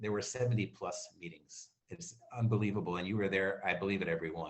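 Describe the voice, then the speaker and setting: Amid audible room echo, a somewhat breathy man talks at a fairly quick pace with ordinary pitch variation. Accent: American. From Maryland, US. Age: 60s. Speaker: award recipient, community committee chair, printer. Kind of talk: acceptance speech.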